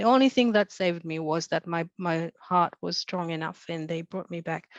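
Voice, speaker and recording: A woman with a non-native accent speaks at a moderate pace in a fairly low pitch with ordinary pitch variation. The sound is dry and close with no echo. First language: not English. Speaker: author. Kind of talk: panel discussion. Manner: halting.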